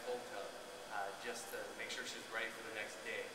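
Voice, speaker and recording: There is loud background noise and audible room echo. A man speaks at a fairly quick pace. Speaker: new college coach. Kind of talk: press conference answer. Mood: proud, warm, smiling. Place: hall. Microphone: podium.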